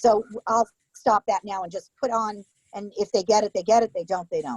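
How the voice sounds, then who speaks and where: Dry and close with no echo, a woman's fairly high voice moves at a fairly quick pace with a slight New York accent. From Connecticut near New York (Cos Cob). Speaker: small business baker. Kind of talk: casual interview. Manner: loud when nervous; animated.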